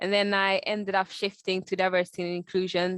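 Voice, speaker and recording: Recorded with a dry, close sound with no echo against a quiet background, a woman speaks at medium pitch. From Sweden. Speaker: diversity and inclusion specialist. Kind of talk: lecture. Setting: video call. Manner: fast.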